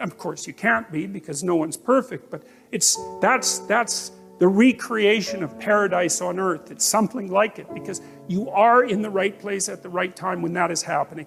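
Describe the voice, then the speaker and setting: Over music in the background, a man with a high pitch speaks at a moderate pace, his intonation lively and his loudness swinging widely. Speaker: psychologist and public lecturer. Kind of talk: motivational lecture to an audience.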